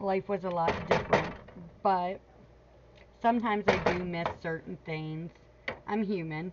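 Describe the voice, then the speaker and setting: Amid noticeable background noise, a woman speaks at a medium pitch and a fairly slow pace, with fairly even intonation and long, frequent pauses. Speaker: homesteading vlogger. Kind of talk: casual cooking vlog chat. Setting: home kitchen.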